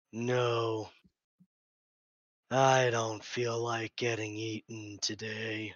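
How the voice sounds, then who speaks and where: A man puts on a raspy character voice at a medium pitch, delivered at a very slow pace. The intonation stays monotone and flat, with long, frequent pauses. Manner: blunt, matter-of-fact.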